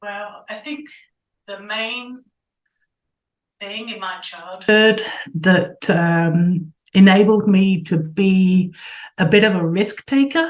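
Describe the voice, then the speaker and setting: A woman talks at a very slow pace with medium pitch and ordinary pitch variation, leaving long, frequent pauses. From England, Southeast London. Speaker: sculptor and art professor. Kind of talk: interview.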